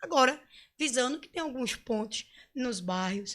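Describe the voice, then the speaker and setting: A woman with a raised, projected voice speaks at a moderate pace. Her high pitch carries a bright, sharp tone and lively intonation. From Pernambuco, Brazil (rural area of Cabo de Santo Agostinho). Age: 40s. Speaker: political candidate. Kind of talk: interview.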